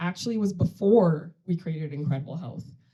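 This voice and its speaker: A woman speaks at a fairly low pitch and a moderate pace with ordinary pitch variation. Her tone is dark and mellow, and somewhat breathy. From Sudan. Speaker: tech company CEO and co-founder. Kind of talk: conference panel talk.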